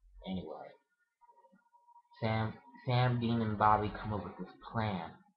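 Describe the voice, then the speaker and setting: Audible room echo surrounds a man's fairly low voice. He talks at a fairly slow pace with fairly even intonation. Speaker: vlogger. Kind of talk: casual chat.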